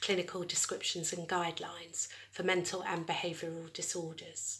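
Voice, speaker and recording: A woman's bright, sharp tone at a moderate pace. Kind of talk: lecture. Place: home room. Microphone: phone near.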